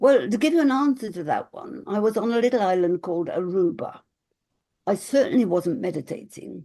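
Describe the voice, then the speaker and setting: A woman with a dark, mellow tone speaks at a fairly quick pace, her medium pitch swinging very widely. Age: 80s+. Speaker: spiritual teacher and author. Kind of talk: casual chat.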